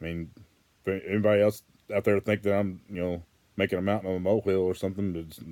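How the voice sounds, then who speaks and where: A man with an American accent talks at a very fast pace. His pitch is fairly low and his intonation is monotone and flat. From Western Arkansas. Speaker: vlogger. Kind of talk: casual monologue. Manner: halting, many repetitions.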